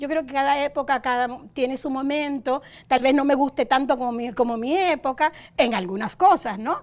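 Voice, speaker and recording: A woman speaks at a moderate pace in a high voice. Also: ordinary pitch variation. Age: 70s. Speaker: educator and women's rights activist. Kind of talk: interview.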